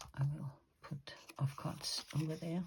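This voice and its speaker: With a Danish accent, a woman speaks at a very deep, low pitch in a dark, mellow, somewhat breathy tone and fairly even intonation. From Denmark. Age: 50s. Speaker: crafter and illustrator. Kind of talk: craft tutorial. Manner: hesitant, many fillers.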